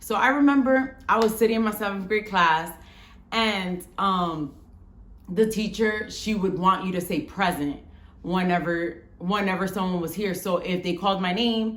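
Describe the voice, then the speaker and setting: Audible room echo surrounds a woman with an American accent speaking at a moderate pace. Her medium pitch has ordinary pitch variation. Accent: New York Bronx twang with a little Spanish. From Bronx, New York, Dominican family. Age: 30s. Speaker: vlogger. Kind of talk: casual storytelling vlog.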